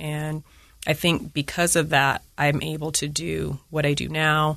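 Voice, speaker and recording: A woman with an American accent talks at a fairly slow pace in a very deep, low voice with vocal fry. Her intonation is monotone and flat, and the background is quiet. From Utah, US (Layton). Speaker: city council member. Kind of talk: interview conversation.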